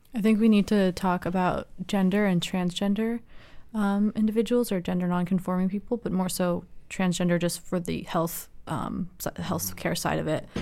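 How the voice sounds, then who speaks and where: Speaking in an American accent at a moderate pace, a woman has a dark, mellow tone and medium pitch. Her intonation is fairly even, in a very clean recording with a silent background. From US West Coast, Los Angeles. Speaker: student. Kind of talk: roundtable discussion.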